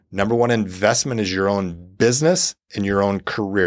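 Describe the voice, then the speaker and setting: A man at a moderate pace with fairly even intonation, in a very clean recording with a silent background. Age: 50s. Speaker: financial coach and author. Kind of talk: interview conversation.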